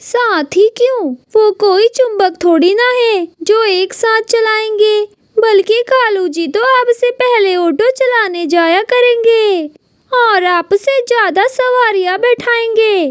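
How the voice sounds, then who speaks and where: A woman uses a cartoonish character voice at an extremely high pitch and a very slow pace. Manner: sharp, scolding.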